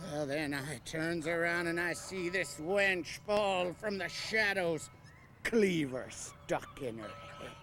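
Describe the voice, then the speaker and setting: A put-on character voice comes at a middle pitch and a fairly slow pace. Background noise is clear. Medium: stage play. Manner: theatrical, growling pirate talk.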